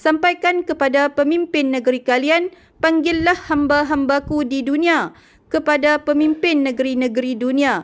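A woman with a high pitch speaks in a solemn tone at a moderate pace, with ordinary pitch variation and very even loudness, in a very clean recording with a silent background. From Malaysia. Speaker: religious messenger. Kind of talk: reading aloud.

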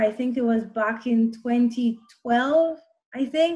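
A woman's high voice at a fairly slow pace against a quiet background. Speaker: interview guest. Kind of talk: interview answer. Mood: cheerful, friendly. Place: home room. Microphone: video call.

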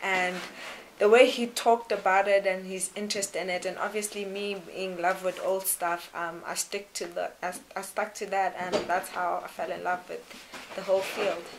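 A woman's medium-pitched voice at a moderate pace, flat and monotone, over noticeable background noise. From South Africa, Durban; South Africa. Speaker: exploration technician. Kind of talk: interview. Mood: warm, smiling. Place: tunnel cave.

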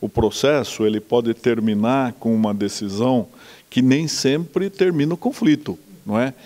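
A man's dark, mellow tone with lively intonation. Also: fairly slow pace. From Brazil, Jundiaí (São Paulo state); São Paulo state, Brazil. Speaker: judge, court president; interviewee. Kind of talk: interview. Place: office. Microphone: handheld.

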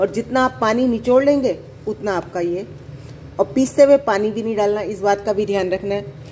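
A woman talks at a moderate pace over faint background noise. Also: medium pitch for a woman, ordinary pitch variation, slightly mellow tone.

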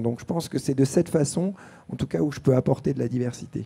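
A man's dark, mellow tone at a medium pitch with ordinary pitch variation. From France, born in Algeria; France. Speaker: entrepreneur and former extreme athlete; panelist. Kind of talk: panel discussion. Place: stage. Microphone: handheld.

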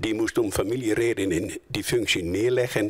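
Against a quiet background, a man speaks with ordinary pitch variation. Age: 70s. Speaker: retired volunteer treasurer. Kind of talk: interview. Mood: calm, mildly proud. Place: office. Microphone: handheld.

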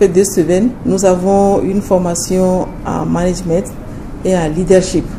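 Fairly slow female speech amid audible room echo and noticeable background noise. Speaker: hospital director. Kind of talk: interview.

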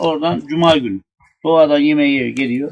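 A man with an Aegean accent talks at a fairly quick pace. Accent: Aegean Turkish dialect. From Burdur, Turkey. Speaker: former village headman. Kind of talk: telling a true funny anecdote in a group. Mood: relaxed, humorous. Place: open country. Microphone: camera far.

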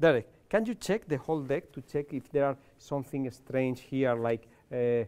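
Speaking with a Spanish accent, a man uses lively intonation. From Spain. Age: 40s. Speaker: card magician. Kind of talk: magic performance. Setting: live show with audience. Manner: halting. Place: stage.

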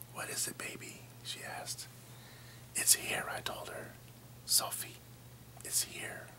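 A man speaks in a whisper. He keeps a fairly slow speed. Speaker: storyteller. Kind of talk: scary story narration. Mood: tense, spooky storytelling. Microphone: phone near.

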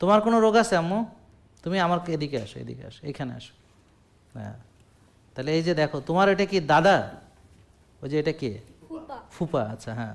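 A man with a fairly high voice speaks in an animated tone with lively intonation. His loudness rises and falls sharply. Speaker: doctor giving health advice. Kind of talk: health talk to audience with patients present.

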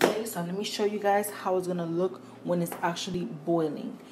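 A woman at a fairly low pitch and fairly quick pace, slightly mellow in tone, with fairly even intonation and faint background noise

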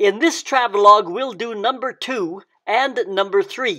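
Against a quiet background, a man speaks at a moderate pace in a raised, projected voice with a bright, sharp tone. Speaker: travelogue host. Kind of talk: casual travelogue introduction.

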